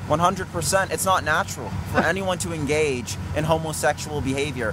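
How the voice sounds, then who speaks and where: Through noticeable background noise, a man with a fairly high pitch talks at a fairly quick pace with ordinary pitch variation. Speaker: street preacher. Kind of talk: confrontational debate with a heckler, preaching. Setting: outdoors with a loudspeaker on a street corner. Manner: formal, insistent, polite but firm.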